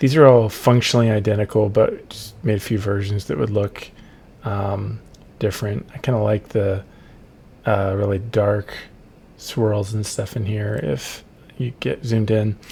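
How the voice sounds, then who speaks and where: A man with a fairly low, somewhat breathy voice and a dark, mellow tone speaks at a moderate pace with ordinary pitch variation and long, frequent pauses. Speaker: game developer. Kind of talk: narrated gameplay walkthrough. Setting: at home late at night. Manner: soft-spoken; hesitant, many ums.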